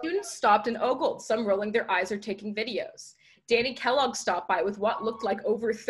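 Set against a quiet background, the voice is reading aloud in a natural voice with ordinary pitch variation.

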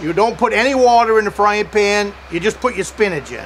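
A man speaks at a moderate pace in a high pitch for a man. Light background noise sits behind him. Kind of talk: casual vlog chat. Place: forest.

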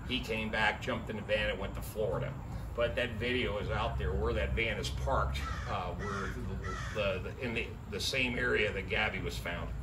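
Noticeable background noise fills the clip. Over it, a man speaks at a moderate pace. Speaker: van life vlogger. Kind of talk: casual vlog chat. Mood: somber, saddened. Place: street. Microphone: camera far.

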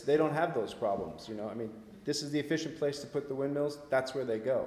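A man with an American accent speaks at a medium pitch with ordinary pitch variation. There is audible room echo. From US Northeast (Vermont). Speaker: author and researcher; guest. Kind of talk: public talk and discussion. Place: hall.

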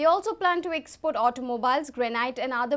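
This is a woman speaking. Her voice sits high in pitch. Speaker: news anchor. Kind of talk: news reading, brisk headline bulletin. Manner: formal, even, steady newsreader pace. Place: studio.

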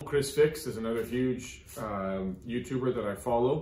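There is audible room echo and light background noise. A man talks at a fairly slow pace with ordinary pitch variation. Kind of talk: tutorial. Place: garage. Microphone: phone near.

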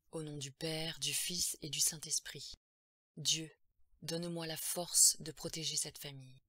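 A put-on character voice, bright and sharp with a slightly husky edge, fairly even in intonation and fairly slow in pace. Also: woman, low pitch for a woman.

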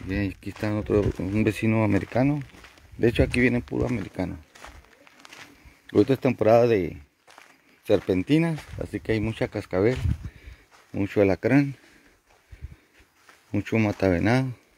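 Pausing long and often, a man speaks with a fairly low pitch, a slightly mellow tone and vocal fry. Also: ordinary pitch variation, moderate pace.

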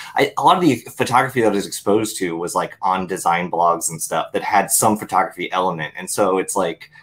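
A man with a fairly low pitch speaks at a fairly quick pace, his pitch varying in an ordinary way. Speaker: channel host. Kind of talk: casual conversation on a call. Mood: amused, self-deprecating. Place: home room. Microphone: earbuds.

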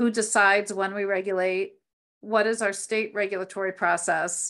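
A woman with an American accent talks at a moderate pace in a monotone, flat intonation. The background is quiet. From US East Coast. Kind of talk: training presentation. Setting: video call. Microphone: video call.

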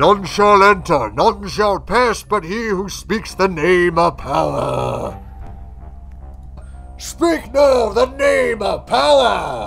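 Putting on a character voice, a man speaks at a very slow pace over clear music in the background. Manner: ominous.

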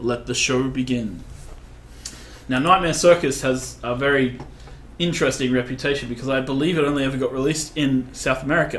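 Against light background noise, a man talks at a fairly quick pace with fairly even intonation. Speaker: game creative director; game developer streamer. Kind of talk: live gameplay commentary. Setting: livestream. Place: office.

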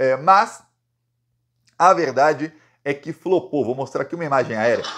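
Fairly high-pitched male speech at a moderate pace, with ordinary pitch variation. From Brazil. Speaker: political commentator. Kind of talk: political news commentary monologue. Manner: animated; casual, conversational. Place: home room. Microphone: phone near.

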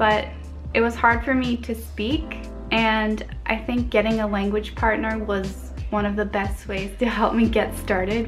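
A woman talks fairly slowly while clear music sounds in the background. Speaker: language learning vlogger. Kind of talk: casual vlog chat. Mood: cheerful and friendly. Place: home room. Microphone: phone near.

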